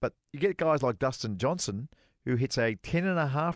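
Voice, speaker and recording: Against a quiet background, a man with an Australian accent speaks at a very slow pace in a fairly high pitch. His intonation is lively, and the sound is dry and close with no echo. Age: 40s. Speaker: golf radio co-host, former pro golfer. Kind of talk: casual chat.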